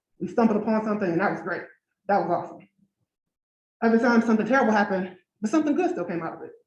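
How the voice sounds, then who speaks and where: With an American accent, a woman speaks at a very fast pace in a fairly high, somewhat breathy voice, her lively intonation and big swings in loudness broken by long, frequent pauses. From Detroit, Michigan, US. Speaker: engineer and researcher speaking at a design event. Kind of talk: conference talk. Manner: conversational, lots of 'right?'.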